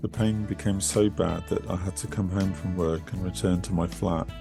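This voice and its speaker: Music plays in the background as a man speaks at a moderate pace in a very deep, low pitch with ordinary pitch variation. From Bristol, England. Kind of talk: personal testimony reading.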